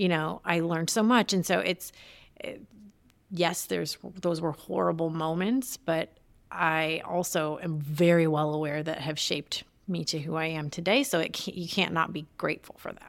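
With a Midwestern American accent, a woman speaks at a fairly low pitch with ordinary pitch variation in a very clean recording with a silent background. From Detroit area, Michigan. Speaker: entrepreneur and former journalist. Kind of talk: interview conversation. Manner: fast talker; fumbles words when excited.

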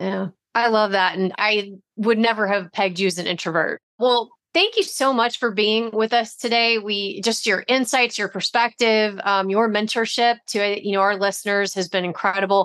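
A woman's fairly high voice, an ordinary speaking voice, with fairly even intonation and a moderate pace. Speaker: podcast co-host. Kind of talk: casual interview chat.

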